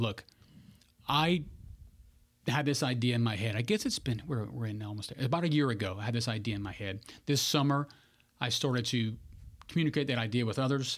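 A man speaks at a fairly quick pace with a Louisiana accent and ordinary pitch variation. The recording is very clean, with a silent background. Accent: Louisiana Southern American. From Louisiana (Bunkie, central Louisiana). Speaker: political candidate, former navy pilot. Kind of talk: interview.

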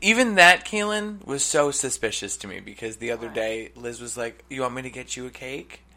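A man talks at a fairly quick pace with hardly any pauses, his tone bright and sharp. His loudness swings a lot and his pitch swings very widely. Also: medium pitch for a man. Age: 30s. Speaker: podcast co-host. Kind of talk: casual chat. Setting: studio.

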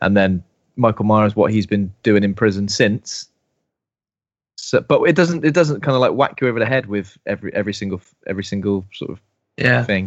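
A man with a British accent speaks at a fairly quick pace, his pitch fairly low and his intonation lively. He leaves long, frequent pauses. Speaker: co-host. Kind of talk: casual chat.

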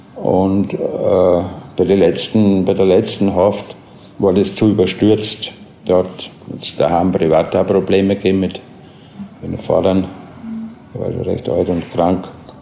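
Over noticeable background noise, a man talks fairly slowly with a very deep, low pitch and fairly even intonation. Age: 40s. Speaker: prison inmate. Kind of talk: interview. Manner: halting.

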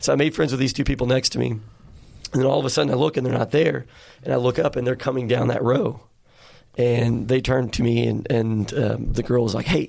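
A man speaks in an American accent at a very even loudness, with ordinary pitch variation. Vocal fry runs through his voice. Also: medium pitch for a man. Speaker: podcast host. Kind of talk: casual chat. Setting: studio. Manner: animated.

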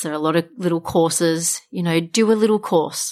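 A very clean recording, silent in the background, of a woman with an Australian accent. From Australia, Wollongong. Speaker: tea business founder. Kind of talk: interview.

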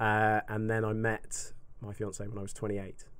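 In an English accent, a man speaks at a fairly slow pace with ordinary pitch variation. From UK. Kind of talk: casual chat.

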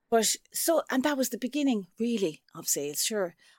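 In a very clean recording with a silent background and a dry, close sound with no echo, a woman with an Irish accent talks at a moderate pace, her fairly high pitch making very wide swings. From Ireland. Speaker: sales trainer and author. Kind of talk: casual interview chat.

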